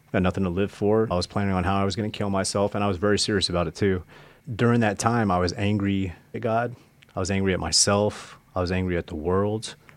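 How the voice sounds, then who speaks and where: Speaking very fast in an American accent, a man keeps his fairly low voice at a fairly even intonation. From US Midwest, Nebraska. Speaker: former prisoner sharing testimony. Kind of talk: testimony.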